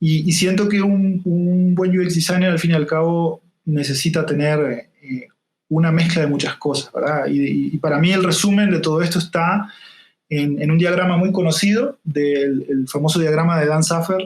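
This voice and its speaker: Speaking at a moderate pace, a man with a high pitch keeps his intonation fairly even and his loudness very even. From Uruguay, interior town. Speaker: UX design consultant. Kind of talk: interview podcast conversation. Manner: hesitant with fillers.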